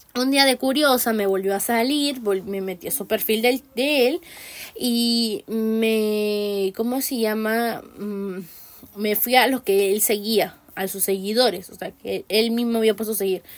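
Speaking fairly slowly, a woman uses a fairly high pitch. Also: fairly even intonation. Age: 20s. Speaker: podcast host. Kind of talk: solo commentary podcast. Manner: halting.

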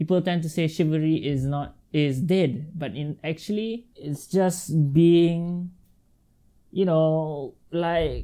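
A man speaks very slowly with a dark, mellow tone. His pitch sits fairly high and moves with ordinary variation. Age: 20s. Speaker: podcast host. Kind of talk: casual chat. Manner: animated. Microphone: not yet their new mics.

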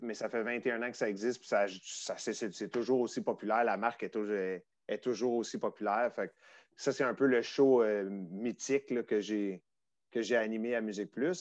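A man speaks in a Quebec accent at a fairly slow pace. His pitch is medium and his intonation fairly even, over a quiet background. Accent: Québécois French. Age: 40s. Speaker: former music TV host. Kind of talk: casual chat.

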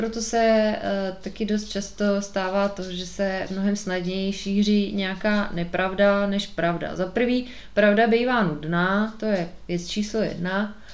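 A woman at medium pitch speaks at a fairly slow pace in a monotone, flat intonation, with audible room echo. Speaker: podcast host. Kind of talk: solo monologue podcast.

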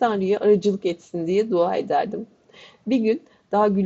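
The passage is read aloud by a natural voice.

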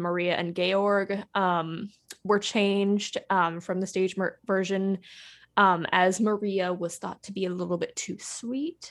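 A woman talks at a fairly slow pace in a medium-pitched voice, an ordinary speaking voice. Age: 20s. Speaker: podcast host. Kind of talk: casual chat.

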